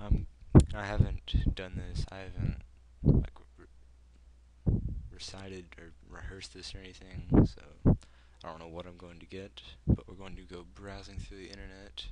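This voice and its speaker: With an American accent, a man with a very deep, low pitch, a dark, mellow tone and vocal fry speaks at a moderate pace in fairly even intonation, his loudness swinging widely between long, frequent pauses. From United States. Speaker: gaming video creator. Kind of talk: unscripted opinion commentary. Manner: halting, many fillers. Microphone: poor mic, breathy, audible breathing.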